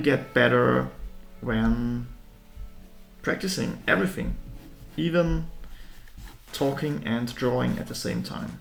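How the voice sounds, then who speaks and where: A man with a German accent speaks at a very slow pace with long, frequent pauses. Music plays in the background, and the room echo is audible. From Austria. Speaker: art youtuber. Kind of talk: drawing tutorial with live commentary. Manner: halting.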